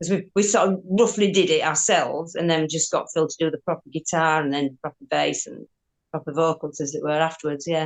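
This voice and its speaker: A woman with a Yorkshire accent speaks at a fairly quick pace in a fairly low voice. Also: ordinary pitch variation. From Yorkshire, northern England. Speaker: rock guitarist. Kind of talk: interview.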